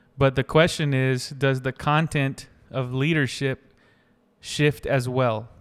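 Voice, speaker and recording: A man speaks at a very slow pace in a monotone, flat delivery, captured on a very clean recording with a silent background. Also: medium pitch for a man. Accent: Southern US. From US South, North Carolina. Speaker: pastor and worship leader. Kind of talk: casual chat.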